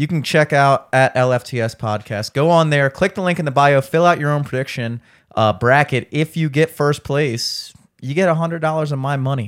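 A man talks at a moderate pace in a plain, everyday voice. His pitch is fairly high, with ordinary variation. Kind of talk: casual chat.

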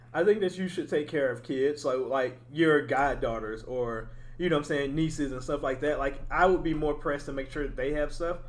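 An unremarkable speaking voice from a man, fairly high in pitch, at a fairly quick pace with hardly any pauses and ordinary pitch variation. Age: 20s. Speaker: podcast host. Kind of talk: casual chat.

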